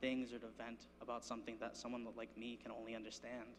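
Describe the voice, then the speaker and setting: The speech is very fast, with vocal fry. Intonation stays monotone and flat. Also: man. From Rhode Island, Cranston. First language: Spanish. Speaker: student speaker. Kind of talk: speech to an audience. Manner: casual, joking.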